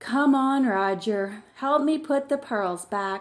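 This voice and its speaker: Over a very clean recording with a silent background, a woman uses a put-on character voice, high in pitch and at a fairly slow pace. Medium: read story.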